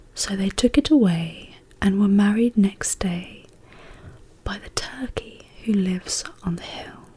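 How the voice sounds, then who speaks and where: Here is a woman with an ordinary speaking voice. She talks at a fairly slow pace with ordinary pitch variation. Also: medium pitch for a woman. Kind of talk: poetry reading. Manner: whispered, soft-spoken.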